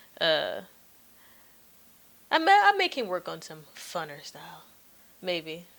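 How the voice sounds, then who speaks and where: A soft-spoken woman talks at a fairly slow pace, with long, frequent pauses and big swings in loudness. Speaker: podcast host. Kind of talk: casual chat.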